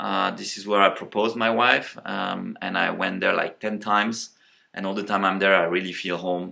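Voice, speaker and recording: A man with a French accent speaks in a bright, sharp tone. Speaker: tech company co-founder. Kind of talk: casual interview, rapid-fire questions. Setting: office tour. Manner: hesitant, many fillers.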